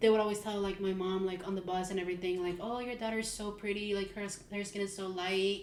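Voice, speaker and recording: A woman with a Mexican accent speaks in a monotone, flat intonation, with audible room echo and noticeable background noise. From Mexico City. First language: Spanish. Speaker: podcast co-host. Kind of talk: casual chat.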